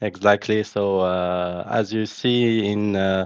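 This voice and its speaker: A man speaks with a Moroccan accent in a fairly low pitch. His intonation is fairly even. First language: Moroccan Arabic. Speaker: podcast host. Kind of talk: podcast interview. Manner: halting.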